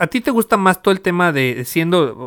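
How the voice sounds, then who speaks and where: The speaker has a Mexican accent and very wide pitch swings. The recording is very clean, with a silent background and a dry, close sound with no echo. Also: man. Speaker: podcast host. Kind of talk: casual chat.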